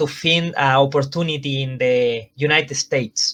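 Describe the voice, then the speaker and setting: Ordinary in pitch variation, a man speaks in a bright, sharp tone. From Chile. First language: Spanish. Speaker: professional wrestler. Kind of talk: interview. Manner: halting.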